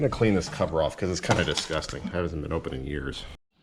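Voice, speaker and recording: This man rattles along very fast, his voice full of vocal fry and lively intonation. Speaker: product reviewer. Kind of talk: tutorial. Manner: casual.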